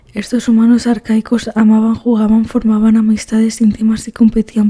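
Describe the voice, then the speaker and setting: A soft-spoken woman, fairly high in pitch, with monotone, flat intonation and a dry, close sound with no echo. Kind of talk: ASMR book reading. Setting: headphones-oriented close-mic recording. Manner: soft-spoken, relaxing.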